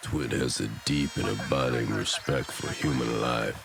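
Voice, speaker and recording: Cartoonish character voice from a man, very deep and low, over clear background noise. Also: moderate pace. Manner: deadpan.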